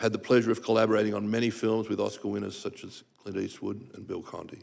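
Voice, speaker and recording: A man with an Australian accent rattles along at a very fast pace. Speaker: composer and arranger, music association president. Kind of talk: testimony. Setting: congressional hearing room. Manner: formal.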